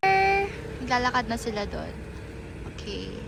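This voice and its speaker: A female voice amid clear background noise, with some reverberation from the room. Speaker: college student vlogger. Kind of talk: casual vlog. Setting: outdoors on campus. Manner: animated.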